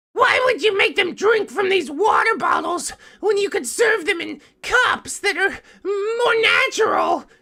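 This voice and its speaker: The voice is a put-on character voice at an extremely high pitch. It moves at a fairly slow pace. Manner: growling.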